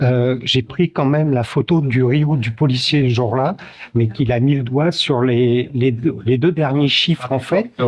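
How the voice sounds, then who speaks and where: A man's somewhat breathy voice at medium pitch, with ordinary pitch variation and a fairly slow pace. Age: 60s. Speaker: protester. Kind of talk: street interview. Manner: halting, many fillers.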